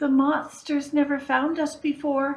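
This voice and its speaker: Using a put-on character voice, a woman speaks at a high pitch and a fairly slow pace in a monotone, flat intonation. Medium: read story. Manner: stuttering.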